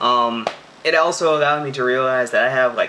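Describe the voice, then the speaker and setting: A man with an American accent speaks at a moderate pace in a medium pitch. Noticeable background noise sits behind him. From Central Illinois, US. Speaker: vlogger and sports announcer. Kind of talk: casual Q&A vlog. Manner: hesitant, many fillers.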